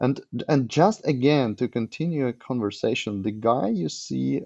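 At a moderate pace, a man speaks with a dark, mellow tone at a medium pitch. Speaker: animation studio owner. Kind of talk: interview. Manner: halting.

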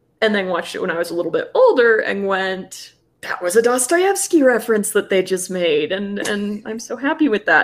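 A woman's fairly high voice in a Plains American accent, with lively intonation and a fairly quick pace. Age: 20s. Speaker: guest. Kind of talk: casual chat.

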